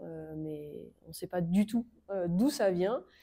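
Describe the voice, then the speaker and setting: Dark, mellow tone carried by lively intonation. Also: woman. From France, Normandy. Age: 20s. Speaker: motorcycle racer. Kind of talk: interview.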